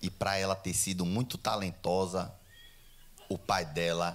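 A man with a very deep, low pitch and an animated tone, over noticeable background noise. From Brazil. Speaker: stand-up comedian. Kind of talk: stand-up comedy. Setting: stage with audience. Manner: animated, fast, irreverent, punchline-driven; casual, profane, bro-style slang. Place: stage. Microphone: handheld.

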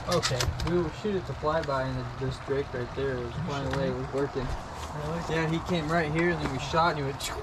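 A moderate pace, long and frequent pauses, and loud background noise. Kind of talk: casual vlog chat. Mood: excited, laughing. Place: open country. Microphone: phone near.

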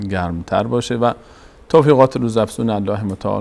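Speaking very fast, a man holds a fairly low pitch. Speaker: TV program host. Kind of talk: show opening address. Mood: warm, welcoming. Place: studio. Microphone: lapel.

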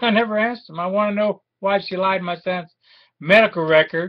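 A man speaks in a high voice at a moderate pace. His intonation stays fairly even against a quiet background. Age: 50s. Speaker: war veteran and aggrieved father. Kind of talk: personal video appeal. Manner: halting, with many fillers. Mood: aggrieved, indignant. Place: home room. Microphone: webcam.

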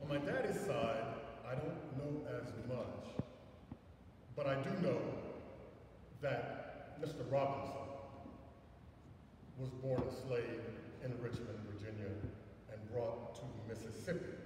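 Amid strong room echo and noticeable background noise, a man speaks at a fairly slow pace with long, frequent pauses and ordinary pitch variation. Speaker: speaker. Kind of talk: sermon. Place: church. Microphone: camera far.

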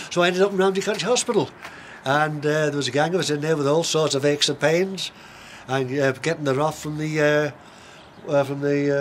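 A man with a Manx accent speaks at a fairly quick pace and a fairly high pitch. His intonation stays fairly even over light background noise. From Isle of Man. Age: 70s. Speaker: long-distance race walker. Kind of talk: interview answer. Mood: relaxed reminiscing. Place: garden. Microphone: camera far.

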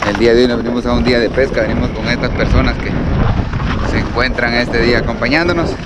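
Talking at a very fast pace, a man is heard over loud background noise in a dry sound with no echo. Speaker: fishing vlogger. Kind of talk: casual vlog chat. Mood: cheerful, joking. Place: open country. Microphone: phone near.

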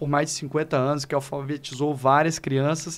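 A man with a fairly high pitch speaks at a fairly quick pace in monotone, flat intonation. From Northeast Brazil, Fortaleza (Ceará); Ceará, Brazil. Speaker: law professor and educator; law professor, educator. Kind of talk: podcast interview. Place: studio. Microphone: studio mic.

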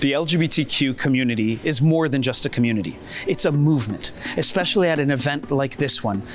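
Over clear music in the background, a man speaks at a fairly quick pace in an upbeat, energetic tone. The sound is dry with no echo. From United States (New York). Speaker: host and reporter. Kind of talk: news-style reporting at advocacy conference.

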